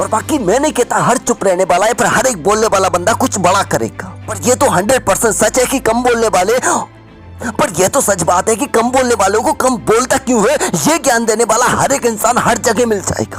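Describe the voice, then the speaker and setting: An energetic, intense tone at a moderate pace, with ordinary pitch variation and music in the background. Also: man, high pitch for a man. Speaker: motivational speaker. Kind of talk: motivational speech.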